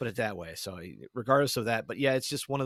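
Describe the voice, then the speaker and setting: A man talks fairly quickly on a very clean recording with a silent background. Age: 50s. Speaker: podcaster, podcast guest. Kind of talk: casual podcast conversation. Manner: halting, many false starts and fillers.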